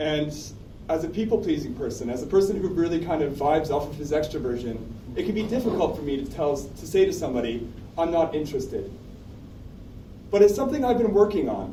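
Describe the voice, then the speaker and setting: A man with fairly high pitch and lively intonation, very fast speech broken by long, frequent pauses, amid noticeable background noise and audible room echo. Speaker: open mic storyteller. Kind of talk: personal storytelling.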